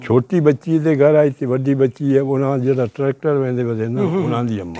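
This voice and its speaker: Medium-pitched male speech, dry and close with no echo, over noticeable background noise. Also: ordinary pitch variation. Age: 80s+. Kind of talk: interview answer.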